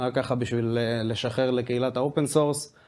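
A man's dark, mellow tone. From Israel. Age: 20s. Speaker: software developer; speaker. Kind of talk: conference talk. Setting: stage with audience. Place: office. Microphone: handheld.

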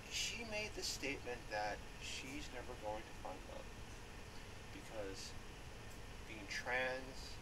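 A woman speaks at a very slow pace, with long, frequent pauses. Loud background noise fills the recording. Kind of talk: casual talk to camera. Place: home room. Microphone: webcam.

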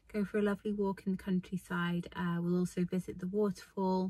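At a moderate pace, a woman talks in a dark, mellow tone that is somewhat breathy. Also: dry sound with no echo. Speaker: hiking vlogger. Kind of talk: casual vlog chat. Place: car. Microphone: phone near.

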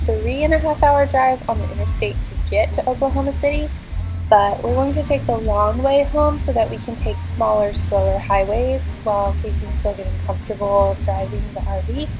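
A woman talks at a moderate speed. Clearly audible music accompanies her in the background. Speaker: vlogger. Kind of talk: casual vlog chat. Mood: relaxed, lightly amused. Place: car.

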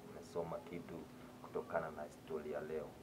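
There is noticeable background noise behind this man's speech. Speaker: vlogger. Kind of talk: casual vlog chat, moral talk and outro in Swahili with English. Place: home room. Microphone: phone near.

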